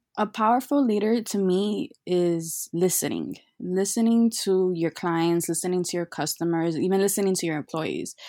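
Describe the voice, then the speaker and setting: On a very clean recording with a silent background, a woman with an American accent speaks at a moderate pace and medium pitch, her dark, mellow tone showing ordinary pitch variation and hardly any pauses. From Chicago. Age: 20s. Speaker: virtual assistant. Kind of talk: casual chat.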